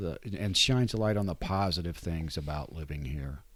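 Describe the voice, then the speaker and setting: Lively intonation marks this voice with an American accent, captured in a very clean recording with a silent background. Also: man. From West Virginia and moving around the US Midwest. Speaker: newspaper editor. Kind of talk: interview conversation. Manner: hesitant, with repetitions.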